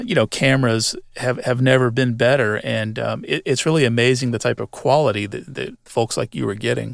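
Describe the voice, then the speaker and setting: Using a normal speaking voice, a man talks at medium pitch with ordinary pitch variation. His pace is moderate, and the sound is dry and close with no echo. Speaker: podcast host. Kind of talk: scripted narration; interview.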